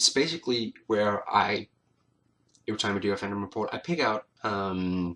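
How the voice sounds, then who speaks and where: At a fairly slow pace, a man with a non-native accent speaks in a fairly low pitch. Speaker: vlogger. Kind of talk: casual talk to camera. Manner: hesitant, many filler words.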